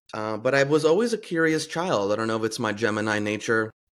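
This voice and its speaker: An unremarkable speaking voice from a man, fairly low in pitch, fairly quick, with ordinary pitch variation on a very clean recording against a silent background. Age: 40s. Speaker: podcast host and life coach. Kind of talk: casual interview chat.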